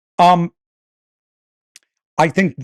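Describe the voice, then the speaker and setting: A man talks with an East Coast US accent. The sound is dry and close, with no echo. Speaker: podcast host, video editing professional. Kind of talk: casual podcast chat. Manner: animated.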